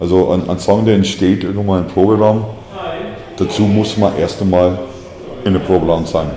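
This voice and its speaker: Amid noticeable background noise and audible room echo, a man with a very deep, low voice speaks at a moderate pace in a flat monotone, leaving long, frequent pauses. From USA. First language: English (speaking German). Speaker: musician, band frontman. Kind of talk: interview. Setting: hair salon.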